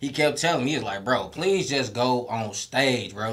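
Noticeable background noise and audible room echo surround the recording. A man speaks with lively intonation. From Detroit, Michigan. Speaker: stand-up comedian. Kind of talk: casual interview chat. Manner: animated.

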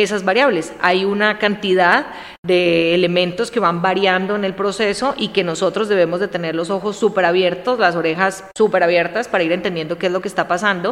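A woman at a medium pitch and a moderate pace, with noticeable background noise. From Colombia, coffee region (Armenia, Quindío). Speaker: business consultant. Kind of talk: casual interview chat.

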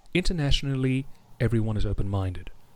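In a Home Counties accent, a man speaks at a very fast pace. His medium-pitched voice has lively intonation. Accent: RP-like home counties English. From South Africa. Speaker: radio DJ. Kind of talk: casual interview chat. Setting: video call. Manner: articulate, formal vocabulary.

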